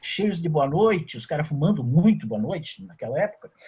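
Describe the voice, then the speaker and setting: A man with a high pitch. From southern Brazil, Rio Grande do Sul (São Borja). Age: 60s. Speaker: journalist. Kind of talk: casual chat.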